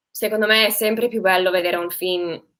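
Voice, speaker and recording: A woman's voice has a bright, sharp tone and monotone, flat intonation. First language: English (speaking Italian). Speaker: actress. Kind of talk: interview. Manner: halting, with fillers and self-corrections.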